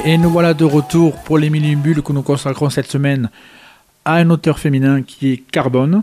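Music plays in the background. The speaker keeps a moderate pace and fairly even intonation. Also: man, fairly high pitch for a man. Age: 50s. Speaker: radio host. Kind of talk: radio interview.

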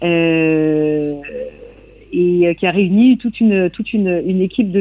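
The pace is very slow, with ordinary pitch variation. Noticeable background noise can be heard. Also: woman. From Brittany, Côte de Granit Rose (Lannion area). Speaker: traditional singer. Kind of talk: radio interview. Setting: remote interview from Brittany. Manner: halting, many repetitions and hesitations.

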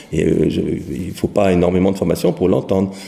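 Speech at a moderate pace sits over noticeable background noise. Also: man. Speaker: professional singer and vocal teacher. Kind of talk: interview. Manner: halting.

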